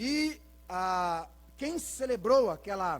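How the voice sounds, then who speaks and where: Lively intonation in a rural Brazilian accent, on a very clean recording with a silent background. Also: man. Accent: caipira, rural interior Brazilian. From Brazil, rural Paraná. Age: 40s. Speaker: pastor. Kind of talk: sermon. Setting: church.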